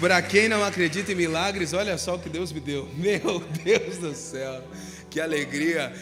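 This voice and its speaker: A man talks with ordinary pitch variation. Noticeable background noise and audible room echo fill the recording. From southern Brazil, Curitiba. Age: 20s. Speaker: pastor. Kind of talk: sermon. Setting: church.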